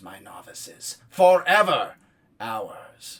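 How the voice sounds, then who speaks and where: Using a put-on character voice, a man speaks with lively intonation on a very clean recording with a silent background. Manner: commanding, proclaiming.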